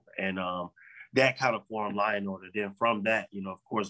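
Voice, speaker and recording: A man's fairly low voice, bright and sharp in tone, at a fairly quick pace. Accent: American. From Central Florida, Polk County. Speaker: former pro football player. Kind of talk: interview.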